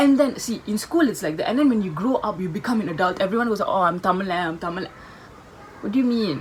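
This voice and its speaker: Speech moving along at a fairly brisk clip, with background noise clearly audible. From Tamil, first-generation in Singapore. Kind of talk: casual talk to camera.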